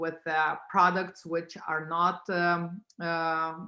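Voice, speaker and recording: A woman with a non-native accent speaks in a fairly low pitch, her tone bright and sharp. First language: not English. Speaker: tech company founder. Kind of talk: business pitch presentation. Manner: halting, many fillers.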